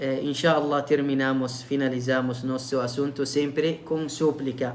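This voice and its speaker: Speaking at a fairly slow pace with a non-native accent, a man of medium pitch keeps a monotone, flat intonation amid audible room echo. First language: Arabic (speaking Portuguese). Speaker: imam giving religious lectures. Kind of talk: religious lecture livestream. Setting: online live stream. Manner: halting, many fillers.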